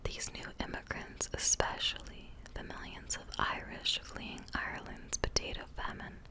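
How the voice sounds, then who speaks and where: A woman whispers at a fairly slow pace. Noticeable background noise is present. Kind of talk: whispered reading of informational text about holiday history. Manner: whispered.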